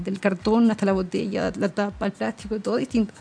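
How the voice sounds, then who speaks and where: A dark, mellow, somewhat breathy tone at a fairly quick pace. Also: woman. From Chile, Concepción. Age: 20s. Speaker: traveler. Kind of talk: interview.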